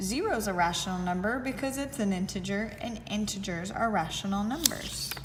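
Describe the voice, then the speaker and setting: A woman speaks at a moderate pace and a medium pitch with ordinary pitch variation, her voice carrying audible room echo over noticeable background noise. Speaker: math teacher. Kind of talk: tutorial.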